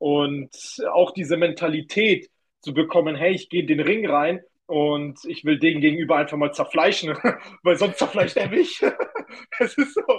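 The tone is energetic, delivered at a moderate pace with ordinary pitch variation. Long pauses come often. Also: man, high pitch for a man. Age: 20s. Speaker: kickboxer and young entrepreneur. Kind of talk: casual interview.

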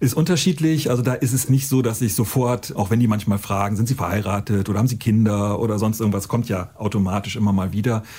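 Somewhat breathy, a man with a dark, mellow tone talks at a very fast pace and very even loudness. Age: 50s. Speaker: teacher. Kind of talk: testimony. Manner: casual.

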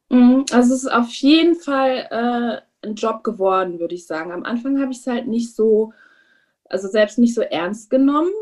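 Ordinary pitch variation at a moderate pace. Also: woman. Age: 30s. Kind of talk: interview. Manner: hesitant with many fillers.

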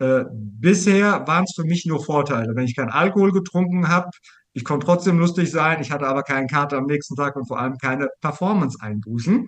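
At a very fast pace, a man with a fairly high pitch speaks with lively intonation. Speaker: business coach. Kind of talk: casual interview.

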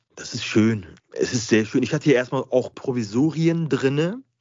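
This man's intonation is lively. His voice rests at a medium pitch. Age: 40s. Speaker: dental patient sharing his experience. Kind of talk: interview. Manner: halting.

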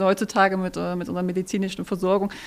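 A woman at a very fast pace. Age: 30s. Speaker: social media presenter and expectant mother. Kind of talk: casual chat. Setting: live at a trade fair set.

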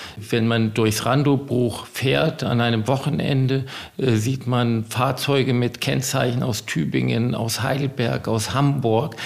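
Noticeable background noise sits behind a man's voice. He talks at a medium pitch and a fairly slow pace. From US (New Jersey, California). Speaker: estate owner. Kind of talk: interview.

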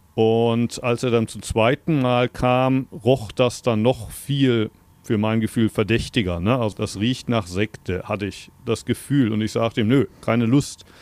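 At a fairly slow pace, a man with an unremarkable speaking voice talks at a medium pitch with fairly even intonation. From Germany (Berlin). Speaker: Zen master. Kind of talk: interview. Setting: remote call.

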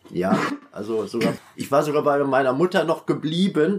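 Noticeable background noise sits behind a man talking at a fairly quick pace. His fairly high voice makes very wide pitch swings. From Westphalia, Germany (Münster). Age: 50s. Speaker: former teacher, prison inmate. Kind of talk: personal life story interview.

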